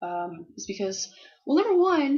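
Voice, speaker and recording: A woman at a moderate pace. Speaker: Formula One fan vlogger. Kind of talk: casual talk to camera. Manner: hesitant, rambling, stuttering.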